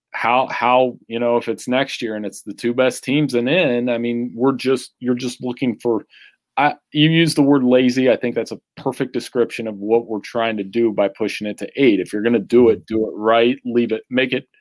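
Recorded dry and close with no echo, a man with an American accent speaks fairly quickly at medium pitch with fairly even intonation. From Central Ohio, US. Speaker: sports writer. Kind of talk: casual chat.

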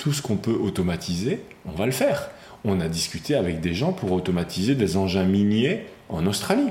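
Lively in intonation, a man speaks at a fairly low pitch. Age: 40s. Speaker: former robotics engineer, now philosophy teacher. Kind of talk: interview testimony. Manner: halting, many repetitions and fillers.

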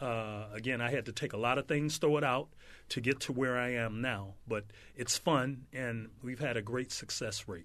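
In an American accent, a man uses a plain, everyday voice at medium pitch, with fairly even intonation and a moderate pace against a quiet background. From South Central Los Angeles. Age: 60s. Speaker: former pro football player and speed trainer. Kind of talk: casual interview.

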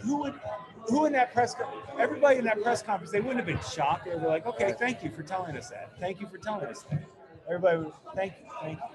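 A man speaks at a very fast pace, his high pitch making very wide swings. Noticeable background noise runs underneath. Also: big swings in loudness. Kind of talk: casual chat. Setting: brewery taproom.

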